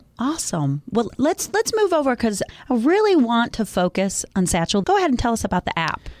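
A woman's fairly high voice with very wide pitch swings, dry and close with no echo, over noticeable background noise. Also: fairly quick pace. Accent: American. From Michigan, US. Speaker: marketing consultant, guest host. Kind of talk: casual interview chat.

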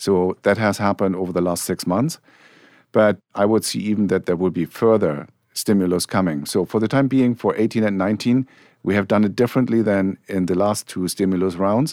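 In a German accent, a man with fairly low pitch and ordinary pitch variation speaks at a fairly quick pace in a dry, close sound with no echo. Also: very clean recording, silent background. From Germany. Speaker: portfolio manager. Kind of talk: panel discussion. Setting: studio.

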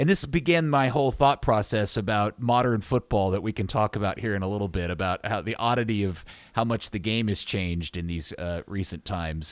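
A man speaks in a normal speaking voice at a fairly quick pace, his fairly low pitch carried by lively intonation. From United States. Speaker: broadcaster and football guest.

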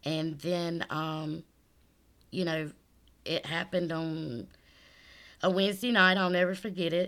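A woman with a South Carolina accent speaks at a fairly low pitch and a fairly slow pace, with long, frequent pauses. The recording is very clean with a silent background. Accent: Southern US (South Carolina). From US South, South Carolina. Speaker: church member giving testimony. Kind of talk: testimony interview.

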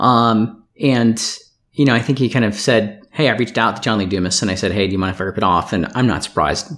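Talking very fast, a man with a medium-pitched voice shows ordinary pitch variation. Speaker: podcast co-host. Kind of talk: casual interview chat. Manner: jokey.

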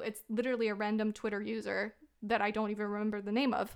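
Heard on a very clean recording with a silent background, a woman speaks at a fairly high pitch. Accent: American. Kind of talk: casual chat.

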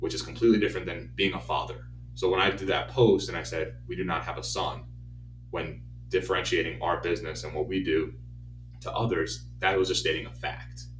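A man speaks at a very deep, low pitch with vocal fry. His voice makes very wide pitch swings. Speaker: baseball coach and podcast host. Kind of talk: casual chat.

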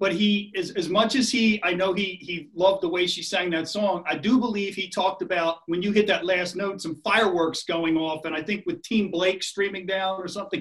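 A man with a Philadelphia accent, high-pitched and enthusiastic in tone, at a moderate pace over noticeable background noise. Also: hardly any pauses. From Philadelphia area. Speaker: podcast co-host. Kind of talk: casual interview.

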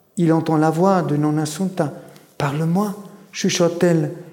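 In an Italian accent, a man speaks at a high pitch with monotone, flat intonation, with audible room echo. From German-speaking Switzerland, Graubünden, Italian immigrant family. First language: Italian (speaking French). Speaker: novelist and lecturer. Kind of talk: public literary discussion; reading aloud from his novel. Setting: stage with audience. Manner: halting, repeats words.

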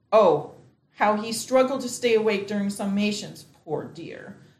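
Somewhat breathy, a woman speaks at a fairly slow pace with a fairly high pitch and ordinary pitch variation. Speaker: actor playing a juror. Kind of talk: noir parody, dramatized. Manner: brisk, sassy, no-nonsense.

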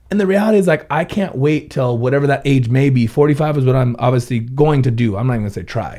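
A dark, mellow tone with an American accent, lively intonation and a fairly quick pace. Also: man. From Ventura, California. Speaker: business owner and guest. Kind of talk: casual chat.

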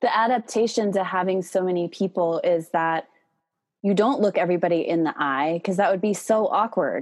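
A woman talks at a fairly quick pace in an ordinary speaking voice, medium in pitch with ordinary pitch variation. Her loudness stays very even against a quiet background. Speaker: podcast host. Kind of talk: casual interview conversation.

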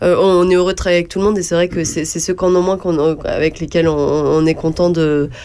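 Amid noticeable background noise, a woman speaks at a fairly quick pace in a fairly low, monotone voice with flat intonation. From Burgundy, France (Yonne). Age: 20s. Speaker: shop owner. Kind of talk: radio interview. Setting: studio.

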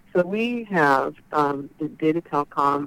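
A woman with an American accent and a very deep, low pitch speaks in a dry, close sound with no echo. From Northern California (Chico). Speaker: trade association executive director. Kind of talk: interview.

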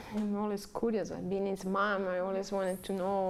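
A woman speaks in an Italian accent at a medium pitch. Her intonation is monotone and flat. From Italy. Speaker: bereaved mother. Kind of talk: testimony. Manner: halting.

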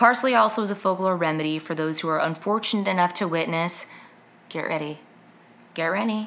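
Speaking fairly quickly, a woman has a normal speaking voice set at a fairly low pitch, with ordinary pitch variation. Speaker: podcast host. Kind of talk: casual chat.

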